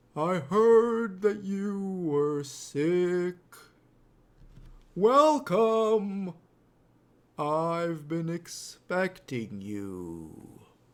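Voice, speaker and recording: In a put-on character voice, a man speaks very slowly with a high pitch, lively intonation, and long, frequent pauses. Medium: read story. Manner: slow, terse, measured.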